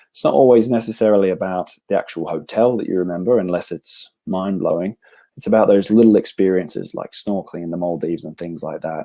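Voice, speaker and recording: A man with an Australian accent, dark and mellow in tone, at a very fast pace with ordinary pitch variation, on a very clean recording with a silent background. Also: fairly low pitch for a man. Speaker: travel company representative. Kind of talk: sales presentation.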